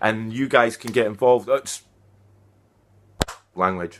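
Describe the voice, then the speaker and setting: With a Scottish accent, a man talks at a medium pitch with ordinary pitch variation. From Scotland. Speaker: activist. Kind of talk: vlog monologue. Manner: direct, emphatic; halting.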